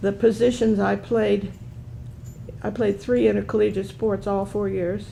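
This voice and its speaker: Noticeable background noise surrounds a woman's voice. She speaks at a fairly slow pace. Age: 70s. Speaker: panelist, former college athlete. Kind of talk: panel discussion.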